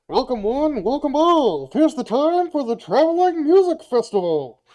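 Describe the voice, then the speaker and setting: The voice is pitched high. It is a put-on character voice. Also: moderate pace, quiet background. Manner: welcoming, loud.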